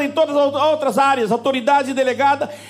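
Over noticeable background noise, a man with an extremely high pitch talks at a fairly quick pace in an animated tone. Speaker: pastor. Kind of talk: sermon. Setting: church.

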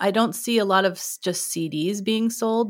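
In a very clean recording with a silent background, a woman speaks in an unremarkable speaking voice at medium pitch with ordinary pitch variation. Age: 40s. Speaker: music educator and podcast host. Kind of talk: interview conversation.

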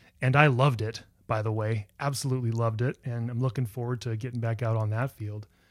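Recorded very cleanly with a silent background, a man speaks at a moderate pace. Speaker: podcast host. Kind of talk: interview conversation, friendly. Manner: warm, enthusiastic.

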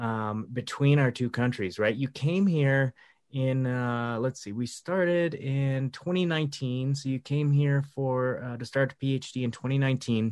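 With an American accent, this unremarkable speaking voice moves at a moderate pace with ordinary pitch variation and hardly any pauses. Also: man, medium pitch for a man. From USA. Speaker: podcast host and counselor. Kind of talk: casual interview conversation. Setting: indoors.

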